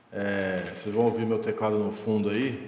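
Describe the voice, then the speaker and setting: A man's voice sits at a fairly low pitch, with noticeable background noise present throughout. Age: 20s. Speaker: podcast host, software architect. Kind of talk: solo podcast monologue.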